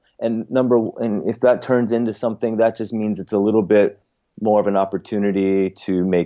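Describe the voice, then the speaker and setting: Speaking at a moderate pace, a man has an unremarkable speaking voice with a fairly low pitch. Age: 40s. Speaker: yoga program founder. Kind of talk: casual interview.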